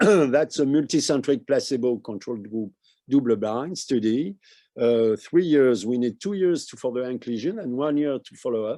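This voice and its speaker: Against a quiet background, a dark, mellow voice with a French accent moves at a moderate pace, its intonation lively and its loudness swinging widely. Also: man, medium pitch for a man. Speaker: medical researcher. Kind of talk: conference presentation. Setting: webinar. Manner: halting.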